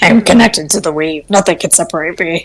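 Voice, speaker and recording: In a put-on character voice, a woman talks very fast, fairly low and raspy. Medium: actual play.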